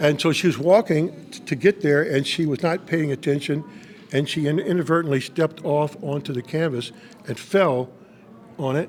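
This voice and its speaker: A fairly high-pitched man at a moderate pace, ordinary pitch variation, noticeable background noise behind him. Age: 70s. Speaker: pastor. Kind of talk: testimony. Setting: on location interview. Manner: animated storytelling.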